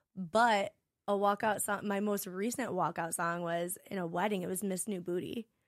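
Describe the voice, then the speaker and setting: A woman with a plain, everyday voice speaks at medium pitch and a moderate pace with fairly even intonation, on a very clean recording with a silent background. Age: 30s. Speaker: personal trainer. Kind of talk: casual chat.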